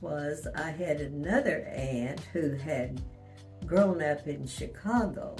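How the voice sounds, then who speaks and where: Music plays in the background as a woman speaks. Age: 80s+. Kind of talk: interview answer.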